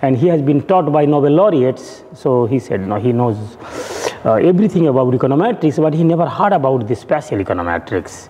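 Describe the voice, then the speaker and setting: A fairly high male voice at a very fast pace, with very wide pitch swings, very even loudness and noticeable background noise. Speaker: professor. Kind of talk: lecture.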